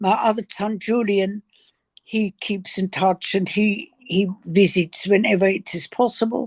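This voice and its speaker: Somewhat breathy, a woman speaks at a fairly slow pace with fairly even intonation, the sound dry and close with no echo. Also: medium pitch for a woman. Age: 80s+. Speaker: Holocaust survivor. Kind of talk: testimony. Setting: video call.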